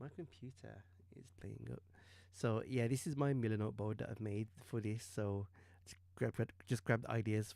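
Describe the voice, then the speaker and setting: In a British accent, a man speaks at a moderate pace with a dark, mellow tone, fairly low pitch and ordinary pitch variation. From UK. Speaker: digital artist streamer. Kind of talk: live stream commentary while painting. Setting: live stream. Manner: hesitant, many ums.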